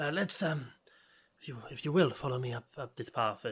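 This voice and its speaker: The voice is a hoarse, put-on character voice. It moves at a fairly slow pace. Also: man, fairly high pitch for a man. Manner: cagey, guarded.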